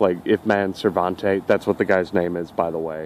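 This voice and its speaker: At a moderate pace, a man talks in a very deep, low pitch with monotone, flat intonation, the sound dry with no echo and light background noise behind him. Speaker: reviewer. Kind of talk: casual vlog chat, episode review. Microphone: phone near.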